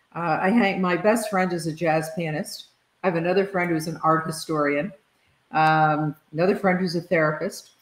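In an American accent, a woman with a fairly low pitch speaks with fairly even intonation amid audible room echo. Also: moderate pace. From US. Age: 70s. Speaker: leadership consultant and author; guest. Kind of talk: interview conversation. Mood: relaxed, warm. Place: home room.

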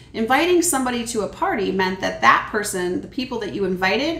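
The woman's voice carries audible room echo. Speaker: children's ministry teacher. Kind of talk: Bible lesson storytelling for kids. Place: kitchen. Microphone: camera far.

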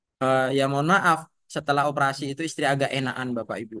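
Against a quiet background, a man speaks at a fairly quick pace with a dry sound and no echo. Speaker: schoolteacher sharing patient family story. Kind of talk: testimony. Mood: emotional, recounting hardship. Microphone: video call.

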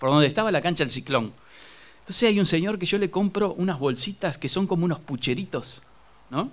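A man is speaking. His intonation is lively. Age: 50s. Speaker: journalist and local magazine publisher. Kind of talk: studio interview. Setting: studio. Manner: halting, many fillers and repetitions.

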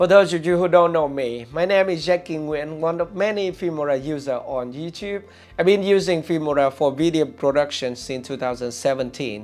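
At a moderate pace and with hardly any pauses, a man talks with ordinary pitch variation while faint music plays in the background. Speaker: video creator. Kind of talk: tutorial. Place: studio. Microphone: lapel.

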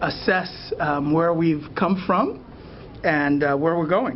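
Noticeable background noise sits under a voice with an American accent. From US, Boston. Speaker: postdoctoral scientist. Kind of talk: interview explanation. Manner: hesitant, many fillers.

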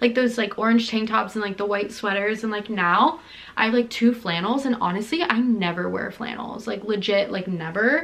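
A woman speaking with ordinary pitch variation and hardly any pauses. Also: moderate pace. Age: 20s. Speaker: lifestyle vlogger. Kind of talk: casual vlog monologue. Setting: at home filming closet. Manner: chatty, heavy filler words. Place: home room. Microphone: phone near.

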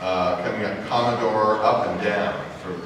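In strong room echo with noticeable background noise, a man talks at a fairly slow pace, his fairly low pitch showing ordinary variation. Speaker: presenter. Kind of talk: public presentation. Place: hall. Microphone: camera far.

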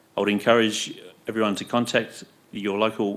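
Here is a man with a plain, everyday voice, fairly low in pitch. He talks at a moderate pace. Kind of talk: formal meeting announcement. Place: meeting room. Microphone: podium.

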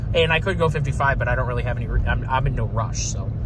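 A man speaks at a very fast pace. Loud background noise fills the dry recording, which has no echo. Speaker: farmer vlogger. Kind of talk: casual vlog chat. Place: car. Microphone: phone near.

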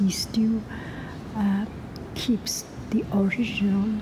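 Very slow speech over noticeable background noise. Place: hall. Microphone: phone near.

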